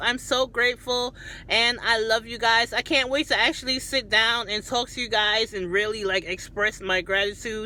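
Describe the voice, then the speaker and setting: Speaking with hardly any pauses, a woman uses a plain, everyday voice at a fairly high pitch, with ordinary pitch variation and a moderate pace. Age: 30s. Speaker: YouTuber and chef. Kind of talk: cooking tutorial; casual vlog talk to camera.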